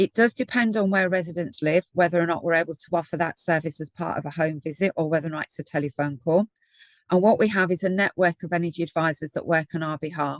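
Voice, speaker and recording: Speaking very fast with a Brummie accent, a woman has a fairly low pitch and ordinary pitch variation in a dry, close sound with no echo. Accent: Birmingham (Brummie). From Birmingham, English Midlands. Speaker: energy advice programme lead. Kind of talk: webinar presentation.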